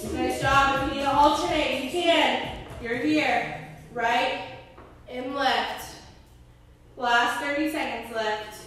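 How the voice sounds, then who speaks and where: A high-pitched woman at a very slow pace with long, frequent pauses, ordinary pitch variation, strong room echo, and light background noise. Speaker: fitness instructor. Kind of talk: workout class cueing. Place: gym.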